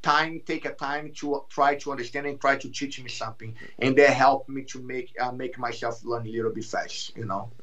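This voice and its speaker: A man with a fairly high voice speaks with a Brazilian Portuguese accent. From Brazil, Rio de Janeiro. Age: 30s. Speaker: jiu-jitsu champion and instructor. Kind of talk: podcast interview.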